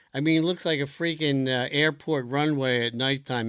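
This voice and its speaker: A man's bright, sharp voice at a fairly high pitch, with an American accent, a moderate pace and fairly even intonation. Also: very clean recording, silent background. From Philadelphia. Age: 70s. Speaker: race organizer and show host. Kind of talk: casual interview. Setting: livestream.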